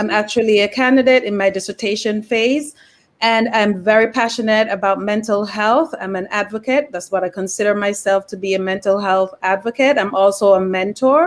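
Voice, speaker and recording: Speaking with a Jamaican accent, a woman talks at a moderate pace with hardly any pauses, a medium pitch and ordinary pitch variation. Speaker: mental health therapist. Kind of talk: casual chat.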